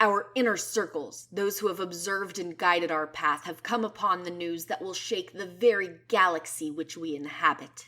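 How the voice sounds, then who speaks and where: A woman uses a put-on character voice, booming and bellowing at a medium pitch. She keeps a moderate pace with hardly any pauses. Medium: read story. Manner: bellowing, commanding.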